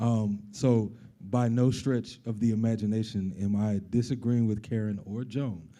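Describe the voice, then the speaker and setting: With audible room echo, a man with a dark, mellow tone speaks at medium pitch and a moderate pace in a monotone, flat intonation. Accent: American. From US Midwest, Chicago. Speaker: corporate diversity director and startup CEO. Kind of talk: panel discussion. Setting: stage with audience. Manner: hesitant, repeats words.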